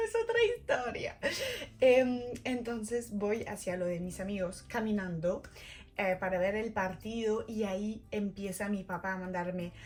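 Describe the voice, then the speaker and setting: At a fairly slow pace, a woman speaks with a French accent. Her tone is animated. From France. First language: French (speaking Spanish). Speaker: vlogger. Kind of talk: personal storytelling vlog.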